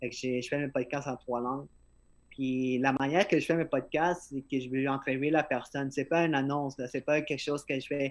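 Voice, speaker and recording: A man's fairly high voice, flat and monotone, at a moderate pace against a quiet background. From Peru. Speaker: podcaster and event organizer. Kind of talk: casual interview chat. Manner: halting, many repetitions. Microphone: phone microphone.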